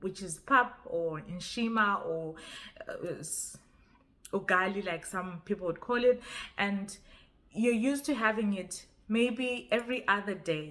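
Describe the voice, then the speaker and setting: Speaking with a Zimbabwean accent, a woman uses a bright, sharp tone at medium pitch with ordinary pitch variation, a fairly slow pace and long, frequent pauses. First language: Ndebele. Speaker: YouTuber. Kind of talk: casual vlog talk. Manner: halting, with repetitions.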